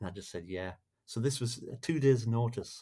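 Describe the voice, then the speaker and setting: A man's medium-pitched voice, somewhat breathy, with a dark, mellow tone and a moderate pace. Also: very clean recording, silent background. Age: 60s. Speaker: musician. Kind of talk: podcast interview. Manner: halting, with many restarts.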